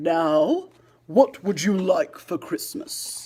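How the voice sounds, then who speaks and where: Someone speaks in a put-on character voice, fairly high in pitch and at a very slow pace. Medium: read story. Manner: hearty, warm.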